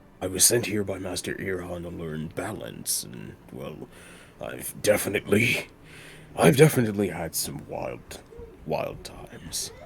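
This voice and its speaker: Putting on a character voice, a man speaks with a very deep, low pitch. Clear background noise runs behind him. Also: moderate pace. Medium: actual play. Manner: hesitant, earnest.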